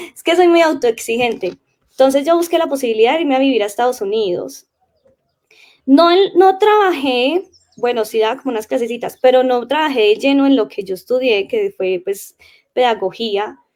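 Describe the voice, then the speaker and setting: A woman speaks with a high pitch. Both her pitch and her loudness swing widely. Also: moderate pace. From Colombia, Caldas. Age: 20s. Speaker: language teacher. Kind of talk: casual interview chat.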